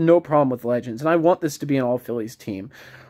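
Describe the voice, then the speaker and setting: Mumbling at a medium pitch, a man speaks with ordinary pitch variation in a dry, close sound with no echo. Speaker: mobile game YouTuber. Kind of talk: casual gameplay commentary. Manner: hesitant, many fillers.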